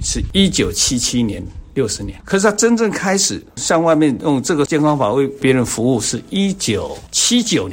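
His pitch fairly high, a man speaks with very wide pitch swings. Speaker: reflexology instructor and co-author. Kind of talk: interview.

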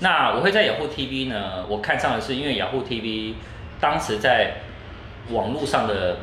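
A man speaks at a fairly slow pace in a medium pitch, his intonation lively, with noticeable background noise. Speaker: tech commentator and radio host. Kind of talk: interview. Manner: varied intonation.

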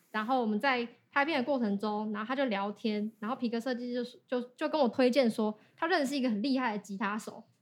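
Pitch varies in an ordinary way. Words arrive at a very fast pace. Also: woman, high pitch for a woman. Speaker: singer and YouTuber. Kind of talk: casual interview.

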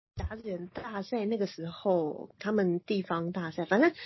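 A woman is speaking at a moderate pace. Her voice is somewhat breathy. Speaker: sports news anchor, former baseball reporter. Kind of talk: casual chat. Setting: remote call.

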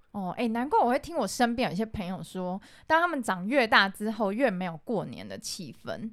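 A woman with an unremarkable speaking voice talks fairly quickly at a fairly high pitch, hardly pausing at all. Her intonation is lively and her loudness swings widely, on a very clean recording with a silent background. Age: 30s. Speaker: podcast co-host. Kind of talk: casual chat.

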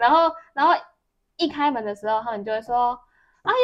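In a Taiwanese accent, a woman speaks. She talks at a fairly quick pace. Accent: Taiwanese Mandarin. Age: 40s. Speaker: podcast co-host, telecom store worker. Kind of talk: casual chat.

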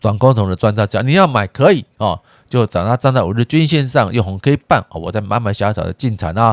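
A man's medium-pitched voice at a fairly quick pace, with lively intonation, dry and close with no echo, on a very clean recording with a silent background. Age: 50s. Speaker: personal finance YouTuber. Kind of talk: casual investment commentary. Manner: halting, many filler particles.

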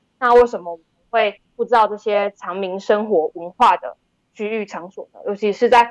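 Delivered at a moderate pace with ordinary pitch variation, the voice has a dry, close sound with no echo. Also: woman. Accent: Taiwanese. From Taiwan, Tainan. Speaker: documentary director. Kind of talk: interview. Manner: low energy.

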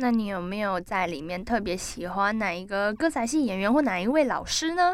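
Pitch swings very widely around a medium level for this woman. She keeps a moderate pace with hardly any pauses. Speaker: campus radio sports show host. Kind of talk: casual interview chat.

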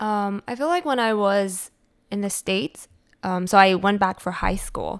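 On a very clean recording with a silent background, a woman with a Taiwanese-American accent speaks at medium pitch with ordinary pitch variation. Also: moderate pace. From Taiwan and California (Cupertino). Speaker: food blogger and marketing strategist. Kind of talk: interview.

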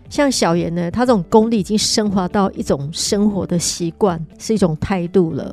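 A woman speaks at a medium pitch with hardly any pauses. Noticeable background noise is present. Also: ordinary pitch variation, moderate pace. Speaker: podcast host. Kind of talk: casual interview chat.

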